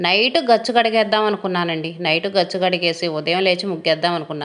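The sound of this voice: Fast pace, ordinary pitch variation and a fairly bright tone. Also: woman, fairly low pitch for a woman.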